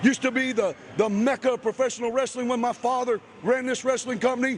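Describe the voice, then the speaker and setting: Over noticeable background noise, a man with an American accent speaks at a very fast pace in an animated tone and at an extremely high pitch. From Ohio, Chillicothe. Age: 40s. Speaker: professional wrestler. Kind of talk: wrestling promo interview.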